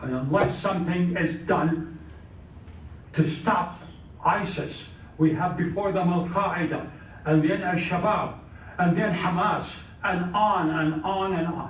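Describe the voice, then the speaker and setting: The speech is fairly slow and flat, with a monotone intonation and long, frequent pauses. Audible room echo and noticeable background noise surround it. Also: man, high pitch for a man. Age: 90s. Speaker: former senator, guest speaker. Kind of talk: speech with Q&A. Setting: club meeting with audience. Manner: halting.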